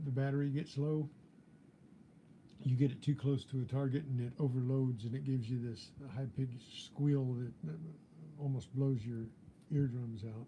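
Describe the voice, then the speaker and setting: A man's somewhat breathy, dark, mellow voice at a medium pitch and moderate pace, with fairly even intonation and long, frequent pauses. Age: 70s. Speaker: metal detecting youtuber. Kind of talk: live stream chat. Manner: halting.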